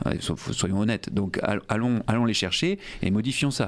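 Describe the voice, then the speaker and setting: Talking at a fairly quick pace, a man with an ordinary speaking voice uses a medium pitch and ordinary pitch variation. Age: 40s. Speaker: politician, mayoral candidate. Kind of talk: radio interview.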